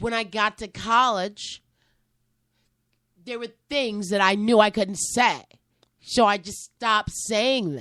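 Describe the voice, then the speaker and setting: At a very slow pace and with long, frequent pauses, a woman speaks in a fairly high voice with a bright, sharp tone and fairly even intonation. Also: quiet background. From Michigan, US. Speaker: radio co-host. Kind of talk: casual chat.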